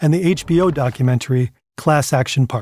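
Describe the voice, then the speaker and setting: On a dry, close recording with no echo, a man with a fairly high pitch sounds somewhat breathy and shows ordinary pitch variation. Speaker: documentary narrator. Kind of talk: scripted narration.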